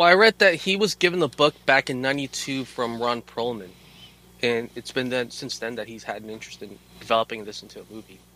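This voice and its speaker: With a normal speaking voice at medium pitch, a man uses lively intonation and big swings in loudness, in a dry, close sound with no echo. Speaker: podcast co-host. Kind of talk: casual chat.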